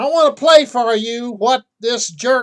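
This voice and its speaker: With an American accent, a man speaks at a very slow pace in an extremely high pitch. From Kentucky. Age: 80s+. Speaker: insurance salesman and political commentator. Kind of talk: political rant.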